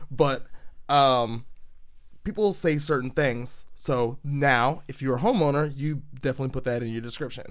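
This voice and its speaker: Animated in tone, a man with a fairly high voice speaks at a moderate pace with ordinary pitch variation. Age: 30s. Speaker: podcast host. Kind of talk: casual chat.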